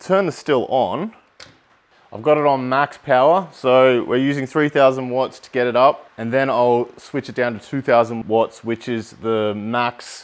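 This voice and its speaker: Speaking with an Australian accent, a man keeps a fairly slow pace at a medium pitch with ordinary variation. His loudness swings widely. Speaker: home distilling YouTuber. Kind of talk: tutorial. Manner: casual, conversational.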